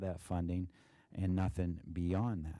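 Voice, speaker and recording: At a moderate pace, a man speaks with a very deep, low pitch and a dark, mellow tone. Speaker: school district treasurer. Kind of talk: financial report presentation. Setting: board meeting. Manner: monotone; halting, many fillers.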